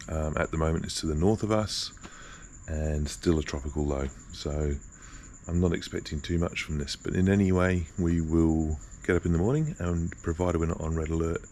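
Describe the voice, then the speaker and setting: Someone whispers at a fairly quick pace in an Australian accent. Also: man. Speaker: vlogger and tour guide. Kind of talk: casual vlog. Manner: whispering.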